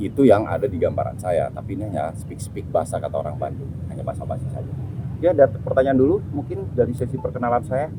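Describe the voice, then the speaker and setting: A man of medium pitch talks at a very fast pace with big swings in loudness, amid audible room echo and noticeable background noise. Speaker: activist and discussion speaker. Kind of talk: group discussion talk. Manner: casual, conversational.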